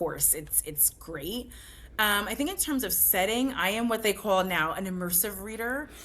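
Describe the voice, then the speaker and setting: Speaking in an American accent at a moderate pace, a woman has a bright, sharp tone at a medium pitch, with lively intonation and vocal fry. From New Jersey. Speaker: book club founder. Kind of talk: interview conversation.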